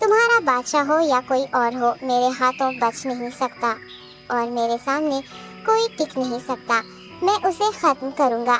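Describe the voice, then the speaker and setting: Cartoonish character voice, female-sounding and high-pitched, over clear background music. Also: moderate pace. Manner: respectful, deferential.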